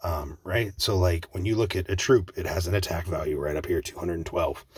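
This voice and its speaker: A somewhat breathy male voice in a very clean recording with a silent background. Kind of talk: casual gaming commentary.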